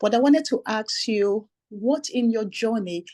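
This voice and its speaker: Dry and close with no echo over a quiet background, a woman with a non-native accent speaks at a fairly slow pace and a medium pitch, her tone dark and mellow and her intonation lively. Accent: foreign. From immigrant, foreign-born. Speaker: audience member, businesswoman. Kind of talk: audience question.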